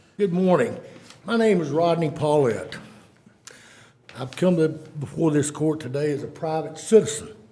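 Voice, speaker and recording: A man with an East Texas accent speaks at a fairly high pitch and a moderate pace, with ordinary pitch variation and long, frequent pauses. Noticeable background noise and audible room echo fill the recording. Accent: East Texas Southern US. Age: 60s. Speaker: private citizen speaking at public meeting. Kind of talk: public comment at county meeting. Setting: county commissioners court meeting. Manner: formal.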